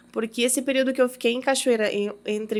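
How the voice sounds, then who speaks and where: A very clean recording of a woman's voice, the background silent. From Uruguay (Brazilian raised there from age 4). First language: Spanish (speaking Portuguese). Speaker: businesswoman, podcast guest. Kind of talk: testimony in casual interview. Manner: halting, repeats words.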